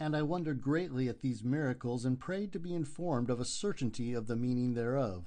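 Against a quiet background, a man with a normal speaking voice talks at a fairly quick pace in a medium pitch. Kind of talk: audiobook reading of a historical first-person confession. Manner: solemn, measured, formal narration.

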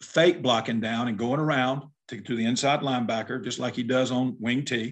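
With an Alabama accent, a man talks at a moderate pace. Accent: US Southern (Alabama). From southern Alabama. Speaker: retired high school football coach. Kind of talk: casual chat.

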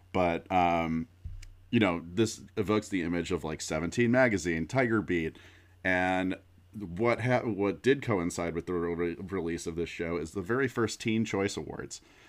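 A man talks at a moderate pace in a very deep, low pitch with ordinary pitch variation. The background is quiet. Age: 30s. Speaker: podcast co-host. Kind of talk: casual chat.

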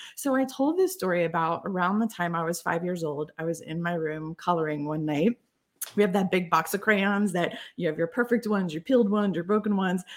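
A woman with an unremarkable speaking voice and fairly low pitch talks at a fairly quick pace with ordinary pitch variation, in a very clean recording with a silent background. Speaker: storytelling consultant and author. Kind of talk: interview.

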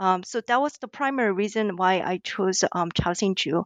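A woman with a Korean accent talks at a moderate pace. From South Korea. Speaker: ethnomusicologist and author. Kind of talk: interview. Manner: hesitant, many fillers.

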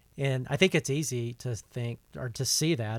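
In a very clean recording with a silent background, a man with a plain, everyday voice of medium pitch speaks at a moderate pace with an American accent. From US South. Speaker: podcast host. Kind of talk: casual interview. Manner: frequent fillers, uh and um.

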